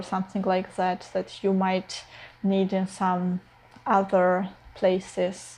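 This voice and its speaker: A very slow pace with a non-native accent, somewhat breathy, in a dark, mellow tone. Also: woman. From Eastern Europe. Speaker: filmmaker vlogger. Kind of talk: personal vlog. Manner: hesitant, many fillers.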